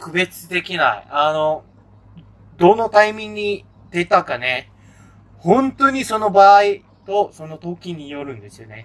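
A man's high voice with lively intonation and big swings in loudness, at a fairly slow pace, with long, frequent pauses. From Malaysia. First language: Malay (speaking Japanese). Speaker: podcast co-host, engineer. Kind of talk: casual chat.

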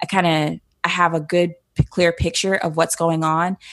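A woman with an ordinary speaking voice and a fairly low pitch speaks at a fairly slow pace. The sound is dry and close, with no echo. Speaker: photographer, community founder. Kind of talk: interview. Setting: podcast interview.

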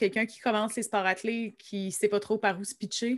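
On a very clean recording with a silent background, a woman with a fairly high pitch and a bright, sharp tone speaks fairly quickly, her pitch varying in an ordinary way. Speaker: podcast host. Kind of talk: casual interview.

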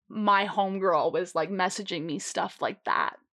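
A woman speaks loudly in an animated tone. The recording is very clean with a silent background. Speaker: podcast co-host. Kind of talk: casual chat.

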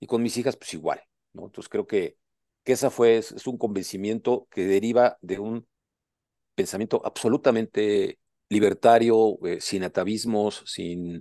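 A man with a dark, mellow, medium-pitched voice speaks fairly slowly with ordinary pitch variation. The sound is dry and close with no echo, and the background is quiet. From Puebla, Mexico. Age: 60s. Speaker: doctor and author, amputee. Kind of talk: personal life-story interview. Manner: hesitant with frequent repetitions.

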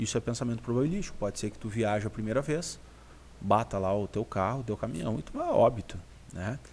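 A man's very fast speech with vocal fry, big swings in loudness and ordinary pitch variation. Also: medium pitch for a man. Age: 30s. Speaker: aesthetics health professional and teacher. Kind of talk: live-stream Q&A chat.

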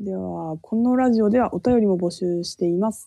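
A woman with a Yamagata accent speaks at medium pitch in a dark, mellow tone with ordinary pitch variation. The sound is dry and close with no echo, against a quiet background. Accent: Shonai dialect of Yamagata. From Japan, Shonai region of Yamagata. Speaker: podcast co-host. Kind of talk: casual chat.

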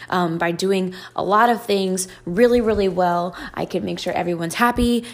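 A woman talks at a fairly quick pace. Her medium pitch carries fairly even intonation. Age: 20s. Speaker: podcast host and YouTuber. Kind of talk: solo monologue podcast. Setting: recorded at night. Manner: casual, with frequent filler ums.

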